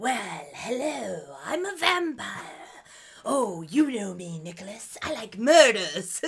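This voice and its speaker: The voice is a put-on character voice at a fairly high pitch. Its pitch swings very widely. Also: fairly slow pace. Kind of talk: casual, flippant. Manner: mocking, casual, not threatening.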